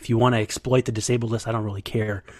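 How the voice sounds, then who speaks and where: A man with a medium pitch and fairly even intonation has an ordinary speaking voice. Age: 30s. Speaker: baseball beat writer. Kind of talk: casual interview.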